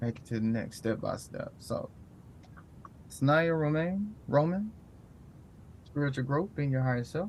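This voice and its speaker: A man talks at a fairly slow pace. His voice is somewhat breathy, with lively intonation. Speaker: meditation and book study host. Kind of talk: casual spoken wrap-up of a book study.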